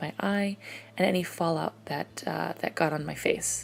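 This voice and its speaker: The speaker is soft-spoken, with ordinary pitch variation. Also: woman. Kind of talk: makeup tutorial voice-over.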